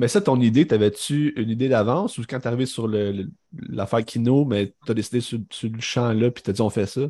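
A man with a Quebec accent, medium-pitched and dark, mellow in tone, at a moderate pace with hardly any pauses, ordinary pitch variation, and a quiet background. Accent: Québécois French. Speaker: film podcast co-host. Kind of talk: casual chat.

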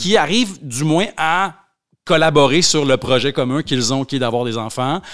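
A man speaks in a plain, everyday voice at a fairly high pitch. His pace is moderate and his intonation lively. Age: 30s. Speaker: author. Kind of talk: casual chat.

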